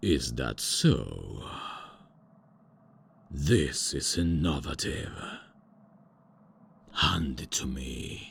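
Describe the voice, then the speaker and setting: A man puts on a character voice, pitched very deep and low, speaking at a very slow pace with long, frequent pauses. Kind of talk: comic fantasy roleplay. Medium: solo performance. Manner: theatrical, pompous.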